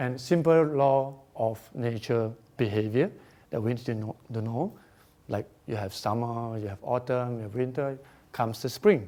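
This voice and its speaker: Talking at a moderate pace, a man uses a Singaporean accent and a medium pitch. His tone is dark and mellow. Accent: Singaporean English (Singlish). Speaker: feng shui researcher and speaker. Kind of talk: conference presentation. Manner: hesitant, many fillers.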